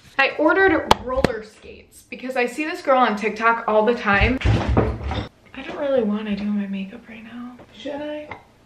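Over loud background noise, a woman with a high voice talks at a moderate pace with hardly any pauses and ordinary pitch variation. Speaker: vlogger. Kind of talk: casual vlog monologue. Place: home room. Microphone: phone near.

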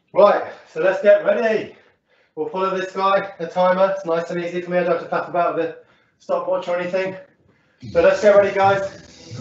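A man speaks in a high pitch with monotone, flat intonation. His pace is fairly quick, and there is audible room echo. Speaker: fitness instructor. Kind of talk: workout instruction. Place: home room. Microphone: camera far.

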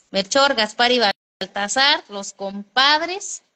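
A woman with a bright, sharp tone talks at a fairly slow pace against a quiet background. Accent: Mexican. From Mexico. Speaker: vlogger. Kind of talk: casual livestream chat. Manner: animated. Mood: chatty, amused storytelling. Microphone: phone near.

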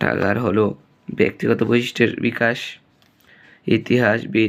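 This man talks in a fairly low voice with vocal fry and fairly even intonation. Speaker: online teacher. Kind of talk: tutorial.

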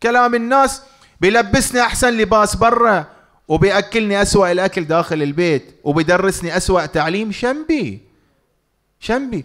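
This man's voice sits high and his intonation is lively, with his loudness held very even. He talks at a moderate pace over a quiet background. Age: middle-aged. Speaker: financial lecturer. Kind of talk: public lecture. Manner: interactive, conversational. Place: hall. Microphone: studio mic.

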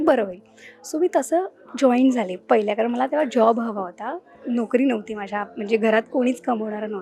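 A woman speaks at a fairly high pitch with ordinary pitch variation over music in the background. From Mumbai, India. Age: 20s. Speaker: film industry newcomer. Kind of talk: interview.

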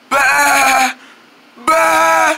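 A put-on character voice at a very slow pace, bright and sharp in tone, with fairly even intonation. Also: woman, high pitch for a woman.

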